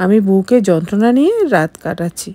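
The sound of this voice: A woman talks at a moderate pace and medium pitch, with a dark, mellow tone. Her pitch swings widely.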